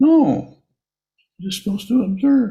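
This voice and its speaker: Squeaky and fairly high in pitch, this put-on character voice moves at a moderate pace. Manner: mock-instructing.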